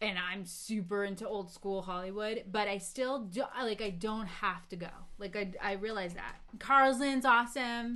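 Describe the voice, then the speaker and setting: With an American accent and a bright, sharp tone, a woman speaks at a moderate pace with ordinary pitch variation, and audible room echo is present. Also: medium pitch for a woman. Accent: Boston accent, slips out at times. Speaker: podcast co-host. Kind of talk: casual chat on a livestream. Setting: live video stream. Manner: animated.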